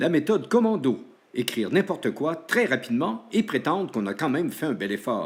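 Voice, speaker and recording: The voice has vocal fry and very wide pitch swings, moving at a moderate pace. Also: man, fairly high pitch for a man. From Quebec, Saguenay (Chicoutimi). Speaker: school show host / teacher. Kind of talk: scripted narration in sketch, then show outro.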